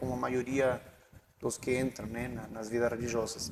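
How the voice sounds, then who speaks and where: There is noticeable background noise as a man speaks with a strong Chilean accent. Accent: Chilean accent, strong rolled R's. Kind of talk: casual interview. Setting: his home. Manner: halting, with fillers.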